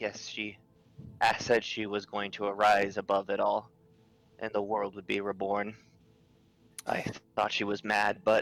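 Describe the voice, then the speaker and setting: In a put-on character voice, a man talks at a moderate pace with monotone, flat intonation and long, frequent pauses. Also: fairly low pitch for a man. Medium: actual play.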